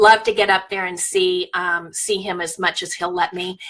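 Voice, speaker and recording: A woman speaks in a flat monotone over noticeable background noise. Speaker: skincare sales consultant. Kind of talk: personal testimony. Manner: loud.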